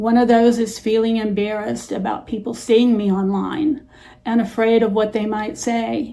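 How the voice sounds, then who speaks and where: A woman with a fairly high pitch and a dark, mellow tone speaks at a moderate pace with fairly even intonation. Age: 70s. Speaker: senior YouTuber. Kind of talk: personal vlog talk to camera. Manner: hesitant, frequent uh fillers.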